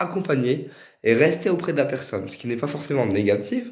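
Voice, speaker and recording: This man's voice sits at a medium pitch. Audible room echo follows his words. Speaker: spiritual medium. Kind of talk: tutorial. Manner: hesitant.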